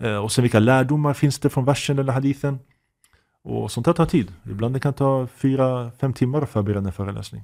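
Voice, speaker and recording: With a normal speaking voice, a man at a medium pitch talks at a fairly quick pace with ordinary pitch variation and big swings in loudness, on a very clean recording with a silent background. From Sweden, Uppsala (Gottsunda). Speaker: imam and Islamic teacher. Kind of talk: casual interview.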